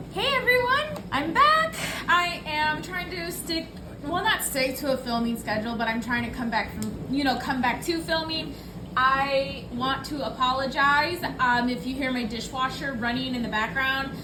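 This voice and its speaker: Amid noticeable background noise and audible room echo, a woman projects her high-pitched voice with ordinary pitch variation. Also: moderate pace. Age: 30s. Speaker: budgeting vlogger. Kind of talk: casual vlog talk. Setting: at home. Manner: chatty, filler-heavy.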